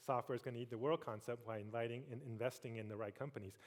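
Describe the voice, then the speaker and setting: A man is speaking here. His pace is very fast. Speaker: tech industry executive, keynote speaker. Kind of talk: keynote speech. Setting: stage with audience.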